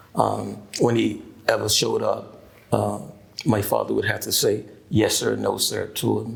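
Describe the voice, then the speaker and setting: Fairly slow speech from a man with an American accent, with audible room echo. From US South, Mississippi Delta. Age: 70s. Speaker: pastor. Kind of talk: oral history interview. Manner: halting, many fillers.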